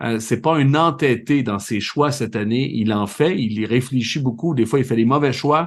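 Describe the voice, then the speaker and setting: A slight Laurentides accent at a moderate pace, hardly any pauses, ordinary pitch variation and a quiet background. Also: man, medium pitch for a man. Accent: Saint-Jérôme Quebec accent, slight. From Quebec, Saint-Jérôme. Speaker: soccer podcast host and TV commentator. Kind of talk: casual podcast chat.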